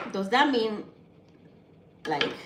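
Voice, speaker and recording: With a Nigerian accent, a woman speaks at a fairly slow pace amid noticeable background noise and audible room echo. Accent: Nigerian (Yoruba) English. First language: Yoruba. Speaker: vlogger. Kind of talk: casual vlog talk while cooking.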